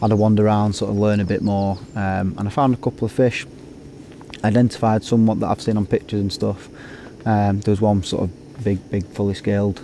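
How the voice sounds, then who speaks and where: A man's fairly low, monotone, flat voice with a Lancashire accent, at a fairly quick pace over noticeable background noise. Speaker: carp angler vlogger. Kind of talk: casual vlog to camera. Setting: outdoors at a lake. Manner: hesitant, many fillers.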